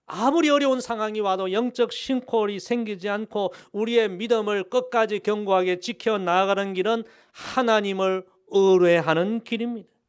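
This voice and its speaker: High in pitch, a man speaks with ordinary pitch variation. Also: moderate pace. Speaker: pastor. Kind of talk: sermon. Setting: church. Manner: formal, earnest preaching; rhythmic, repeating key phrases, call-and-response.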